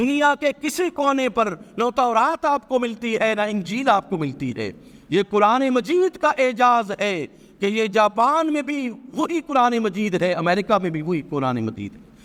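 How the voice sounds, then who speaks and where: A man talks at a high pitch, his voice swinging very widely. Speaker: Islamic scholar (mufti). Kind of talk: religious sermon / lecture. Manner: emphatic, rhetorical, preaching.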